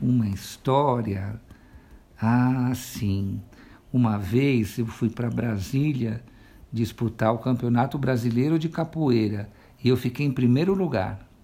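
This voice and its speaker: A man's medium-pitched, dark and mellow voice, with ordinary pitch variation and a very slow pace. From São Paulo, Brazil. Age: 50s. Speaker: shopkeeper. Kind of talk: interview answers.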